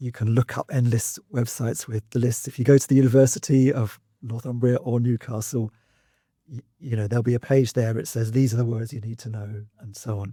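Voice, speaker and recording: On a very clean recording with a silent background, a man speaks at a fairly quick pace in a dark, mellow, somewhat breathy voice of medium pitch. His intonation is monotone and flat, while his loudness swings a lot. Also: dry, close sound with no echo. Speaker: university English lecturer. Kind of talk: podcast host talk.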